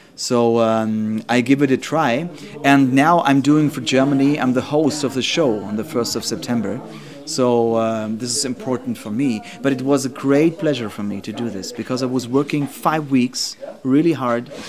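A man talks at a moderate pace with ordinary pitch variation over noticeable background noise. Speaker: interviewee. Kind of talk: interview answer. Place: office. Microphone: studio mic.

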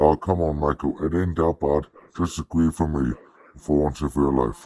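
A man talks at a moderate pace with a very deep, low pitch. His intonation is fairly even, and the sound is dry and close with no echo. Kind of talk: amateur fandub acting. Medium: fan dub. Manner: smug, teasing, casually menacing.

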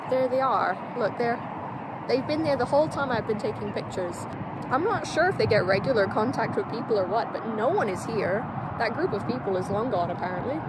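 Fairly quick speech with a dry sound, no echo, and loud background noise. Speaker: birding vlogger. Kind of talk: casual vlog chat. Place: waterside. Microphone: phone near.

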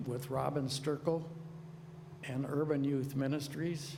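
A man's fairly high, somewhat breathy voice with a dark, mellow tone, fairly even intonation and a very slow pace, in audible room echo. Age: 80s+. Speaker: retired school teacher speaking at public comment. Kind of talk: public comment at a zoning meeting. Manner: halting, many fillers and restarts.

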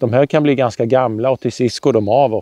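At a moderate pace, a man speaks in a dark, mellow tone with monotone, flat intonation, the sound dry with no echo and the background quiet. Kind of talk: tutorial. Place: garden.

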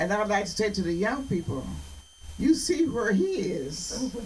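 Over light background noise, a woman speaks fairly slowly with very wide pitch swings. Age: 80s+. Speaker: bishop. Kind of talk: interview answer. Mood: earnest, exhorting. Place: office.

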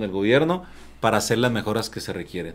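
His pitch jumps across a very wide range. The speaker is a man. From Mexico, Chihuahua. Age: 50s. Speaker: union leader; guest. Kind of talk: casual chat. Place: studio. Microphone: studio mic.

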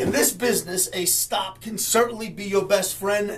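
A man's high voice at a moderate pace, over light background noise. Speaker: trading educator. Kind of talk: market commentary to camera. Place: office.

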